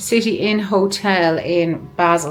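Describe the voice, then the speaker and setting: A woman with an Irish accent. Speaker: travel vlogger. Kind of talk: travel vlog narration. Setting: on a bus.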